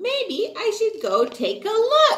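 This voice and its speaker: A woman's squeaky, put-on character voice at an extremely high pitch. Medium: read story. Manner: timid.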